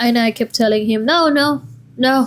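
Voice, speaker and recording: A woman speaks with a non-native accent and ordinary pitch variation. Her pace is fairly slow. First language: not English. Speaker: vlogger. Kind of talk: casual personal storytelling.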